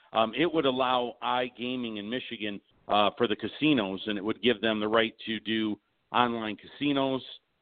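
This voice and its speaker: A man with an unremarkable speaking voice talks at medium pitch and a moderate pace, with fairly even intonation. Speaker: horsemen association representative. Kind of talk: casual interview. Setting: phone call.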